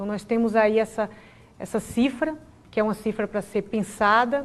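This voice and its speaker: A woman with a Bahian accent, fairly high in pitch, with fairly even intonation at a moderate pace. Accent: Bahian Brazilian Portuguese. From Brazil, Bahia. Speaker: public prosecutor. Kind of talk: TV interview. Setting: TV studio, live broadcast. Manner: formal.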